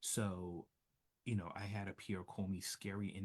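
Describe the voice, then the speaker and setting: A soft-spoken man talks at a fairly low pitch. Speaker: social work professor. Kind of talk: interview.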